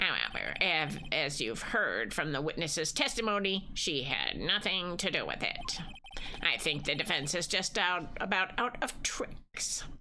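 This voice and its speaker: A woman does a put-on character voice, fairly low in pitch, with lively intonation and very even loudness at a moderate pace. Clear background noise sits behind her. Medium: game stream. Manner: pompous.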